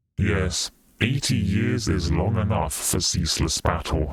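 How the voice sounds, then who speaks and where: This put-on character voice moves at a fairly slow pace. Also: man, fairly low pitch for a man. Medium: read story.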